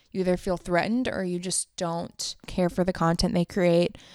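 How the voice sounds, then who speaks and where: A woman with an ordinary speaking voice talks at a moderate pace and fairly low pitch. The recording is very clean, with a silent background and a dry, close sound with no echo. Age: 20s. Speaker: podcaster and videographer. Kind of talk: casual monologue.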